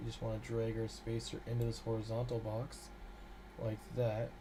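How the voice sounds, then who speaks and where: A man speaks at a moderate pace. Audible room echo and noticeable background noise fill the recording. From Canada. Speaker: game developer streamer. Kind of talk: live-streamed coding tutorial. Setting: live stream. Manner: casual, hesitant with fillers.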